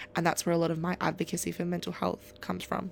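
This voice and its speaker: A woman with an Australian accent. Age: young. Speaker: podcast host. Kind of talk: casual chat.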